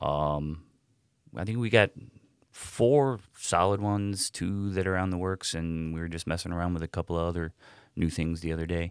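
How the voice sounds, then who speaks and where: A man's very deep, low voice in a Midwestern American accent, moderate pace and ordinary pitch variation, dry and close with no echo on a very clean recording against a silent background. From Cleveland area, Ohio. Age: 40s. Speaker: rock guitarist. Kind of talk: casual chat.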